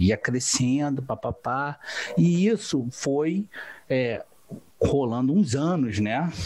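Lively in intonation, a man speaks with a Rio de Janeiro accent. His pace is very slow and his pitch fairly high. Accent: Carioca Brazilian Portuguese. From Rio de Janeiro, Brazil. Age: 30s. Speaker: entrepreneur, civil engineer turned online seller. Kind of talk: interview, casual chat.

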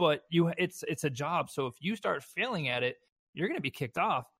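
Speaking with a Southern US accent, a man keeps things moving. His pace is fairly quick. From US South. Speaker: esports event organizer. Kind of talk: casual chat.

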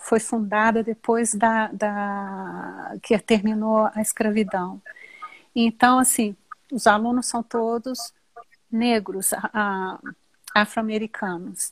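Speaking very slowly with long, frequent pauses, a woman has a fairly high, somewhat breathy voice and a monotone, flat delivery, recorded in a dry, close sound with no echo. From Brazil. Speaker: teacher. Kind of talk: casual chat.

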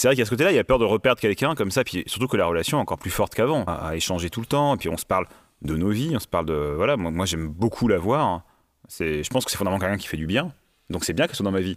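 The pitch swings very widely and the pace is very fast, on a very clean recording with a silent background. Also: man, fairly low pitch for a man. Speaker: comics writer and librarian. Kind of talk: testimony. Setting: studio. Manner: loud.

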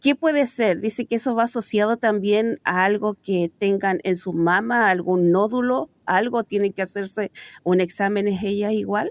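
At a moderate pace and with hardly any pauses, a woman with an unremarkable speaking voice, medium pitch and ordinary pitch variation talks in a dry, close sound with no echo against a quiet background. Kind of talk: reading listener questions.

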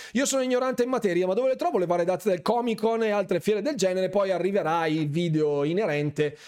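A man speaks at a very fast pace in an animated tone, his pitch high, his loudness very even and his pauses hardly any. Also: lively intonation. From Bergamo, northern Italy. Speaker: gaming streamer and YouTuber. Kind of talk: live stream chat with viewers. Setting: live stream at home, headset microphone. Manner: animated, chatty, informal.

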